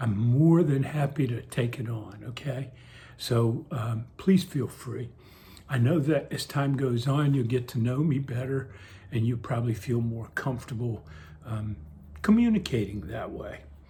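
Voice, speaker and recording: In an American accent, a man speaks at a fairly slow pace and medium pitch, with ordinary pitch variation. His tone is dark and mellow, and somewhat breathy. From coastal Virginia, US. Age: 70s. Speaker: retired postal worker, senior vlogger. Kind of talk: casual monologue vlog. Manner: spontaneous, hesitant with fillers.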